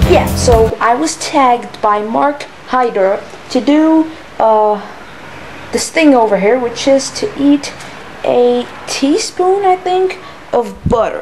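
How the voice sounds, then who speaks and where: Speaking very slowly with long, frequent pauses, a woman with an American accent uses a high voice, lively intonation and very even loudness over light background noise. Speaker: vlogger. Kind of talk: casual vlog. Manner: animated. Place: home room. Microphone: phone near.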